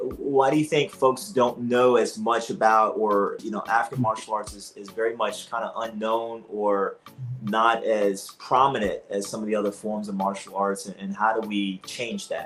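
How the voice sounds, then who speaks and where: Music plays in the background as the speaker goes on with hardly any pauses. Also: man, medium pitch for a man, moderate pace, big swings in loudness. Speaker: martial arts instructor and host. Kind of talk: interview. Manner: animated.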